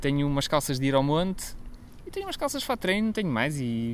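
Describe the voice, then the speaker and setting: A man talks at a very fast pace. His fairly high voice has lively intonation. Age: 30s. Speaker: podcast co-host. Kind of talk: casual chat. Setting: outdoors in a garden.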